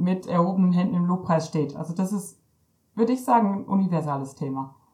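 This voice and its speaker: A woman speaks in a normal speaking voice at a medium pitch with ordinary pitch variation. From Germany, East Westphalia-Lippe. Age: 30s. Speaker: missionary. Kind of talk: interview.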